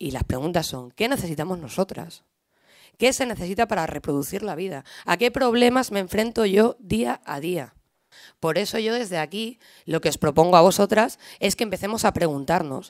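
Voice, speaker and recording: A woman at a moderate pace with very wide pitch swings over a quiet background. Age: 20s. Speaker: left-wing party women's activist; speaker. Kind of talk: panel talk. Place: hall. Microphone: podium.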